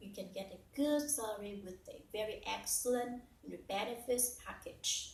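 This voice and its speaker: With a Vietnamese accent, a woman talks at a moderate pace with ordinary pitch variation in audible room echo. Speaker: English learner and teacher. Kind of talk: personal story. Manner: halting with fillers.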